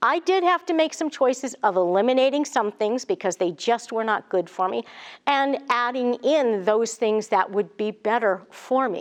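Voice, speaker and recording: With an ordinary speaking voice, a woman speaks at a moderate pace in a fairly high pitch and lively intonation. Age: 60s. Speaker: wellness coach and speaker. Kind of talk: motivational talk. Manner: conversational, some repeats and restarts.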